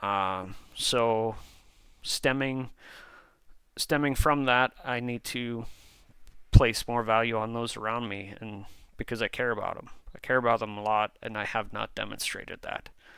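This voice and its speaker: On a very clean recording with a silent background, a man at medium pitch speaks with a bright, sharp tone and fairly even intonation, at a fairly slow pace with long, frequent pauses. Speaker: vlogger. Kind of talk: personal motivational vlog. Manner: hesitant, with fillers and restarts.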